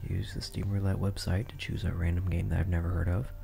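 A soft-spoken man with a very deep, low pitch, music playing behind him. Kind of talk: ASMR gaming commentary.

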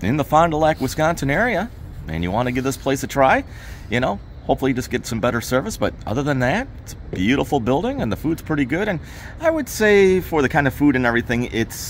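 This man talks at a very fast clip, his pitch swinging very widely. Light background noise can be heard. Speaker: vlogger. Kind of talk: casual restaurant review chat. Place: street. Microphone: phone near.

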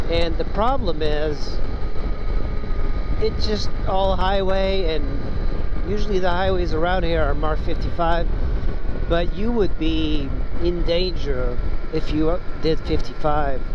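Against noticeable background noise but with a dry sound and no echo, a man speaks at a fairly slow pace with long, frequent pauses. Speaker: motorcycle vlogger. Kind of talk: casual vlog chat. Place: motorbike. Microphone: helmet.

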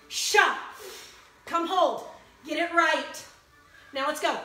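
An extremely high-pitched woman's voice, with long, frequent pauses and audible room echo. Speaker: fitness instructor. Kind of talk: live-streamed HIIT workout class with rhythmic rep cues and countdowns. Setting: video livestream on a social media group. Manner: encouraging, pushy motivator urging through the burn. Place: home room. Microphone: phone near.

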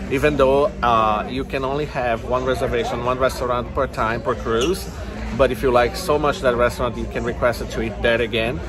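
A man at a fairly quick pace against noticeable background noise. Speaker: travel vlogger. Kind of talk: casual vlog chat. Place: cafe. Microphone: phone near.

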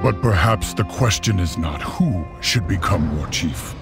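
Over clear music in the background, a man puts on a character voice with low pitch, vocal fry, lively intonation and a fairly slow pace.

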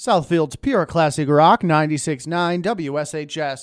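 Here a man with a fairly high pitch talks at a moderate pace in a plain, everyday voice. The sound is dry with no echo, over a quiet background. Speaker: radio DJ (student, in-house station). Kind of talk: classic rock radio station promo and weather break. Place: booth.

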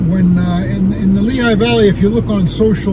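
Loud background noise behind a man, his voice dry and echo-free. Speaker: restaurant reviewer vlogger. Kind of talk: casual vlog chat. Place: car. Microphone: phone near.

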